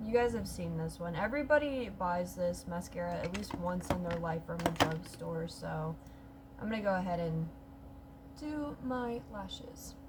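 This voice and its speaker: Moderate-paced speech comes through with audible room echo and noticeable background noise. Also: woman. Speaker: beauty vlogger. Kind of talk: makeup tutorial vlog.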